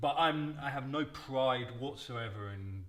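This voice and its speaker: A man with a London accent and ordinary pitch variation. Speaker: podcast panel guest. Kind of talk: casual panel discussion.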